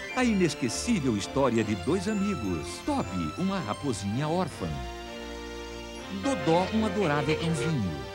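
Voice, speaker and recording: A man at a medium pitch speaks at a fairly slow pace with long, frequent pauses and very wide pitch swings. His loudness stays very even, and music plays in the background. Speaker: voice-over announcer. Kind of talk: movie trailer.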